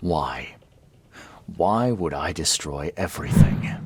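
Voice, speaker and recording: This man puts on a character voice with very deep, low pitch. He moves at a fairly slow pace, his pitch swinging very widely. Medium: video game.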